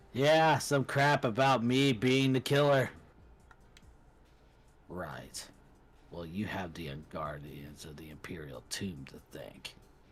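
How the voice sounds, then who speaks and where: A man's raspy, put-on character voice at a medium pitch, with very wide pitch swings, a fairly slow pace, and long, frequent pauses. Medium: game stream. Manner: curt, authoritative.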